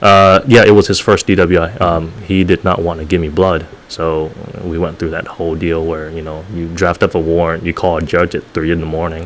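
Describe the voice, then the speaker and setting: Over noticeable background noise, a man talks at a fairly quick pace. His very deep, low voice stays monotone, with flat intonation. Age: young. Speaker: former police officer. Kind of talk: casual interview chat. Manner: hesitant, many fillers.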